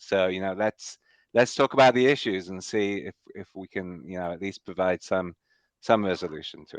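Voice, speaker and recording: Recorded in a dry, close sound with no echo against a quiet background, a man with a very deep, low pitch speaks at a moderate pace with ordinary pitch variation. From northern England. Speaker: enterprise architect. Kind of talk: interview.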